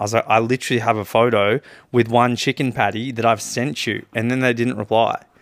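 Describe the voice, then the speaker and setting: At a fairly quick pace, a man with an Australian accent speaks at medium pitch on a very clean recording with a silent background. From Coffs Harbour, New South Wales, Australia. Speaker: podcast co-host. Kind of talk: casual chat. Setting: on a couch at home.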